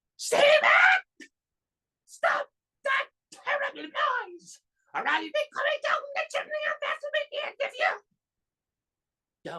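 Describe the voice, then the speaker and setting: A shrill, female-sounding put-on character voice at an extremely high pitch, fairly slow, with long, frequent pauses. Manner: vicious, threatening.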